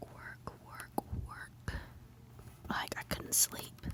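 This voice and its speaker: A woman's very slow whisper in an American accent over noticeable background noise. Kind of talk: ASMR whispered rambling. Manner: whispered.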